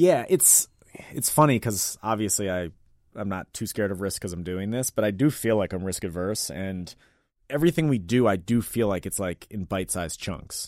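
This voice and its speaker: This man has a normal speaking voice with an American accent, fairly low in pitch with lively intonation. He keeps a moderate pace on a very clean recording with a silent background. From Washington, DC (Mount Pleasant). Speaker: restaurant owner. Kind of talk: interview. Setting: radio studio.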